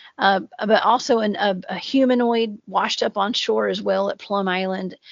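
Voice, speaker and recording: Strong Southern US accent with ordinary pitch variation. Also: woman. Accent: heavy Southern US. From US South. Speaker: cryptid researcher and podcaster. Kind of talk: casual podcast chat.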